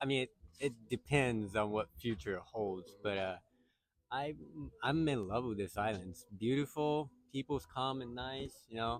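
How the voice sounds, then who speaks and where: A man with a Japanese accent speaks at medium pitch and a moderate pace. His pitch varies in an ordinary way, with long, frequent pauses. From Okinawa, Japan. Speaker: local interviewee. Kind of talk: casual interview. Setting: outdoors at a beach. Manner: halting.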